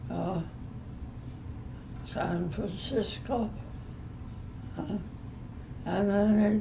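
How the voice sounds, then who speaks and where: A woman speaks at a medium pitch. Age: 80s+. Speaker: modern dancer. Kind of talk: interview answer.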